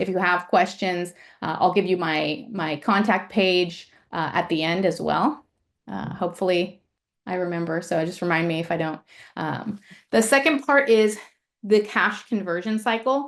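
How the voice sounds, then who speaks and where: This woman has a normal speaking voice of medium pitch, with ordinary pitch variation and a moderate pace. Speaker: ecommerce finance presenter. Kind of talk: webinar presentation.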